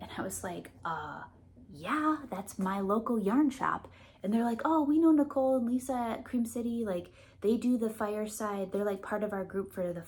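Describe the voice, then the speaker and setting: Lively intonation marks this woman's fairly high voice, in a Midwestern accent. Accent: Midwest. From US Midwest, Milwaukee. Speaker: knitting vlogger. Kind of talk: casual vlog chat.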